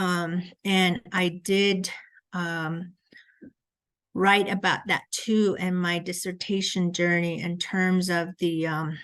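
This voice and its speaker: A woman with a Southwestern US accent, very slow and monotone in flat intonation, over a quiet background. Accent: Navajo-accented English. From Navajo Nation, Red Mesa area (US Southwest). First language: Navajo. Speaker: education researcher. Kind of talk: lecture. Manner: hesitant, frequent 'um' fillers.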